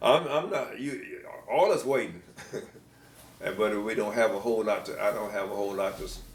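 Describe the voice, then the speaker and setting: A man with an American accent speaks with long, frequent pauses. Audible room echo and noticeable background noise surround him. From US South. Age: 80s+. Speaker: retired band director. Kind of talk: interview. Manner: halting.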